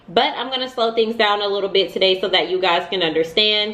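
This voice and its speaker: Against noticeable background noise, a woman talks at a very fast pace. Her pitch variation is ordinary. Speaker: money vlogger. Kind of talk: casual advice vlog.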